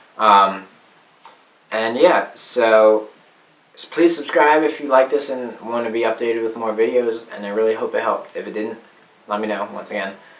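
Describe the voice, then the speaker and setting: A man speaks at a moderate pace with big swings in loudness and long, frequent pauses. Noticeable background noise is present. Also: medium pitch for a man, ordinary pitch variation. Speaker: guitar teacher. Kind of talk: tutorial. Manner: slurring words.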